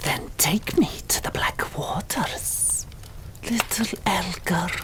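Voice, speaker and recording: A whispered put-on character voice at a very slow pace over loud background noise. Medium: read story. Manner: cold, demanding.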